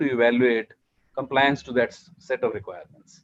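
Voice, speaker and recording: A man with an Indian accent at a fairly quick pace. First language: Hindi. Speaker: standards and accreditation official. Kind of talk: panel discussion.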